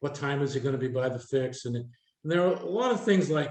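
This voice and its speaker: With a New Hampshire accent, a man talks at a very fast pace, his fairly high pitch carrying a dark, mellow tone. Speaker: retired air traffic controller, speaker. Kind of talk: workshop Q&A talk.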